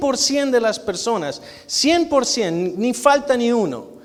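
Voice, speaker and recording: A loud man's voice, extremely high in pitch, with lively intonation at a fairly slow pace. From Argentina. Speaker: guest preacher, physician. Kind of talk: sermon.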